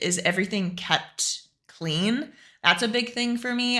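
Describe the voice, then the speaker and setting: Against a silent background, a very clean recording carries a woman's bright, sharp tone. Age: 20s. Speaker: fitness streamer. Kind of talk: casual live-stream Q&A. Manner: fast.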